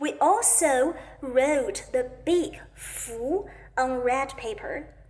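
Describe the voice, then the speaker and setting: Speaking at a very slow pace with lively intonation and a high pitch, a woman is heard over noticeable background noise and audible room echo. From China. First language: Mandarin Chinese. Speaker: Chinese language teacher. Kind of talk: self-introduction monologue.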